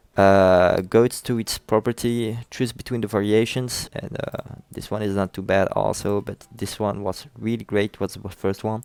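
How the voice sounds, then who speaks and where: Against a quiet background, a man talks at a moderate pace with hardly any pauses, his fairly low pitch delivered in a monotone, flat intonation. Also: dry sound with no echo. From France. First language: French. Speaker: software tutorial creator. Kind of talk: tutorial. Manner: halting, many fillers.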